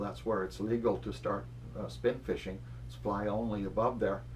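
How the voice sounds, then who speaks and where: Speaking at a moderate pace, a man has a Canadian accent. Room echo can be heard. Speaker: fishing video creator. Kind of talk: video narration. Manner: impaired speech after a stroke; casual, halting with fillers.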